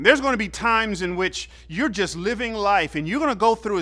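Raised and projected, a man's voice has a bright, sharp tone. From US South, Georgia (Fairburn, south of Atlanta). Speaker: pastor. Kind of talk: sermon.

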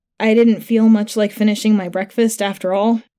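The reading here comes in an unforced voice.

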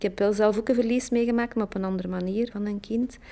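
Her pitch at a medium level, a woman speaks in a dark, mellow tone with fairly even intonation. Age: 50s. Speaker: library reader. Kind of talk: personal testimony.

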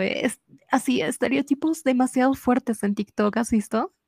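A woman with a high pitch and ordinary pitch variation speaks at a fairly slow pace, the sound dry and close with no echo. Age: 20s. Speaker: podcaster guest. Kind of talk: casual chat.

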